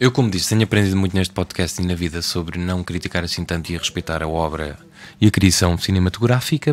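This man speaks with a European Portuguese accent at a very deep, low pitch. His pace is fairly quick, with ordinary pitch variation. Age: 20s. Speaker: podcast co-host. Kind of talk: casual chat.

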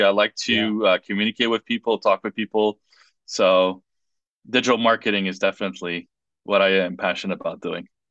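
With a French accent, a man talks at a fairly quick pace in a fairly low, monotone, flat voice with a bright, sharp tone. The sound is dry and close with no echo, over a quiet background. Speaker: political candidate. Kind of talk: interview. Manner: halting.

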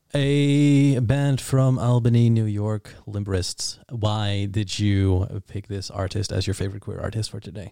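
On a very clean recording with a silent background, a man with a Dutch accent and a dark, mellow tone talks fairly low and fairly slowly, with ordinary pitch variation and hardly any pauses. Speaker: podcast host. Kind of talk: casual interview chat.

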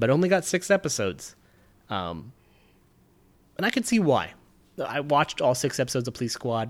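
The recording is very clean, with a silent background. The speaker uses vocal fry, very wide pitch swings, and long, frequent pauses. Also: man, medium pitch for a man. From Nevada, US. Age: 30s. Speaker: film podcast co-host. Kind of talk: casual chat.

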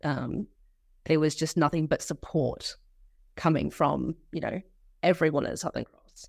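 In an Australian accent, a woman speaks with a very deep, low pitch and vocal fry on a very clean recording with a silent background. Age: 20s. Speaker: social work student. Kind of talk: casual interview.

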